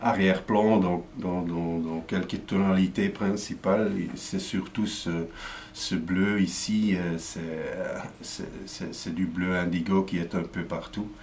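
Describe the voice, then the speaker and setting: A man with a Flemish accent, very deep and low in pitch, very slow, with fairly even intonation, amid noticeable background noise and audible room echo. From Flanders, Belgium. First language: Dutch (speaking French). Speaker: comic book artist. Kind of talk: explanatory talk. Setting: studio. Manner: halting, many fillers and repetitions.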